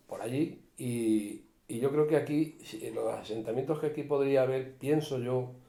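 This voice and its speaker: A fairly high-pitched man's voice in a dark, mellow tone, at a fairly slow pace with audible room echo. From Spain, Cuenca province (rural Castile-La Mancha). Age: 60s. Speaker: retired forest worker, local elder. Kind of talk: interview, casual reminiscing. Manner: animated, overlapping talk.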